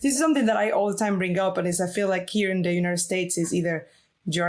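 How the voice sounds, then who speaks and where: A woman's medium-pitched voice with a Venezuelan accent, ordinary pitch variation, and a very clean recording with a silent background. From Venezuela, Valencia. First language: Spanish. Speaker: illustrator. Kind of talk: interview. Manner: hesitant, many fillers.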